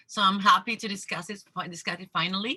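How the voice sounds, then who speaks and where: A woman talks fairly quickly in a bright, sharp tone. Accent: Spanish. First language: Spanish. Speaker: discussion group facilitator. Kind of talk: casual group discussion. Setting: video call.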